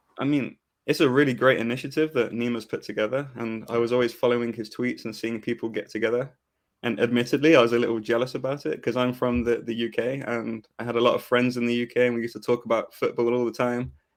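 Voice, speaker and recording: In a very clean recording with a silent background, a man with an American accent talks very fast at a medium pitch, his intonation monotone and flat. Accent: English with slight American twang. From England, Coventry. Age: 30s. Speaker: football fan podcast guest. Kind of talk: casual chat.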